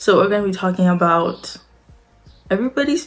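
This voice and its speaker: A woman's medium-pitched voice over background music. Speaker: commentary youtuber. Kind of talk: casual commentary vlog. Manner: casual, many fillers.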